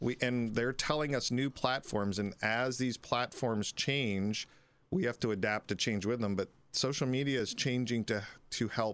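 A man with an American accent has a plain, everyday voice and ordinary pitch variation. He speaks at a moderate pace in a very clean recording with a silent background. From Philadelphia. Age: 40s. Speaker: police detective. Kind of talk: interview. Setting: studio.

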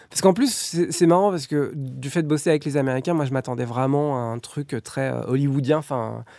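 Over noticeable background noise, a man talks at a moderate pace with hardly any pauses, a fairly high pitch and ordinary pitch variation. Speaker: animation film director. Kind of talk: interview.

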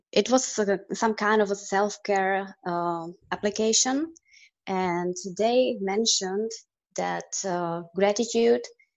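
Her pitch medium and its variation ordinary, a woman delivers her words at a very slow pace. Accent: Czech. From Czech Republic. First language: Czech. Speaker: guest. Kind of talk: casual interview chat.

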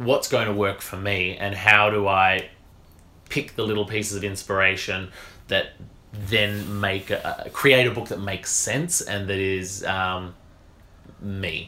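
A man with a fairly low pitch and a bright, sharp tone speaks at a very slow pace, leaving long, frequent pauses, his intonation fairly even while his loudness swings widely. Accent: Australian. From rural Western Australia. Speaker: naturopath and media presenter. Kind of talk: casual interview.

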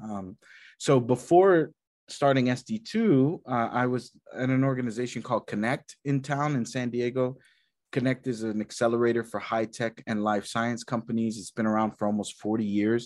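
A man with an American accent speaks in a plain, everyday voice at medium pitch and a moderate pace, with ordinary pitch variation over a quiet background. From rural Texas. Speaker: nonprofit executive director. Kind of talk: interview.

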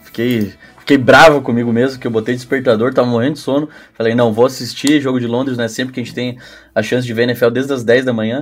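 Very fast speech from a man at medium pitch, monotone and flat in intonation. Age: 20s. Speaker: flag football coach. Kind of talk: casual chat.

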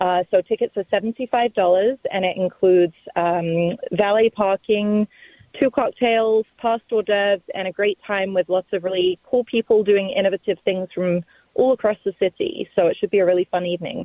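At a moderate pace, a woman with an ordinary speaking voice talks in a medium pitch with fairly even intonation. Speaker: coffee company executive. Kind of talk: casual interview.

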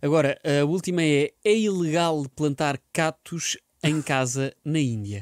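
Speaking at a very slow pace, a man with a fairly high pitch keeps his loudness very even and his pitch variation ordinary, in a very clean recording with a silent background and a dry, close sound with no echo. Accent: European Portuguese. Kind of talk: casual chat.

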